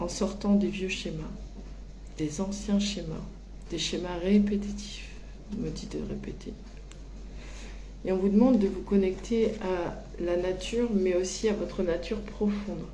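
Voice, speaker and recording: A woman at a fairly slow pace with long, frequent pauses, plus audible room echo and noticeable background noise. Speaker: medium giving spiritual guidance. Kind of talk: channeled oracle reading. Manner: very slow; hesitant, many fillers.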